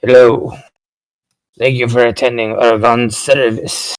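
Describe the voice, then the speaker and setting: In a gruff, put-on character voice of medium pitch, a man speaks at a fairly slow pace. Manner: soft and low.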